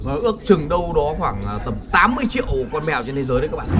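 A man talks with clear music in the background. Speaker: video creator. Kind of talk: animated storytelling vlog chat. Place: waterside. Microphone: phone near.

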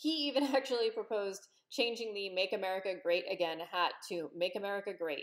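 Against a quiet background, a woman's voice moves through very wide pitch swings. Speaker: political commentator vlogger. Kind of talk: opinion commentary. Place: home room. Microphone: webcam.

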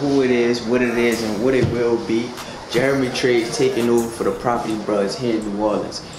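A man talks with ordinary pitch variation while noticeable background noise carries on. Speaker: renovation vlogger. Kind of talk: casual vlog chat. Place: home room. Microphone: phone near.

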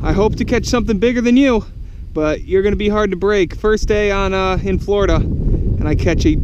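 The sound is dry, with no echo, and noticeable noise sits in the background. A man is speaking. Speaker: angler vlogger. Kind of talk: excited casual vlog chat. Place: waterside. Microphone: camera far.

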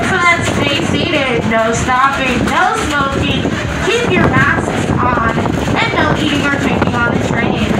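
A woman speaking at a very slow pace, with audible room echo and loud background noise. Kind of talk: safety announcement. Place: train.

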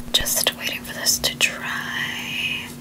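Whispering comes from a woman. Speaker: ASMR beauty creator. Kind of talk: ASMR skincare routine talk to camera. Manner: soft, whispered. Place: home room.

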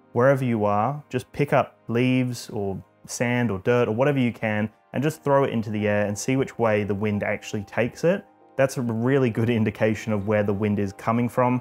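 Faint music plays behind a man who talks at a fairly quick pace with fairly even intonation. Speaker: drone channel host. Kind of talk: tutorial. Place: home room. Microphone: lapel.

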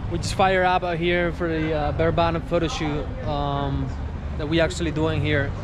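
The man speaks at a moderate pace in a dry sound with no echo, over noticeable background noise. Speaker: travel vlogger. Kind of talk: casual travel vlog narration. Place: street. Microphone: phone near.

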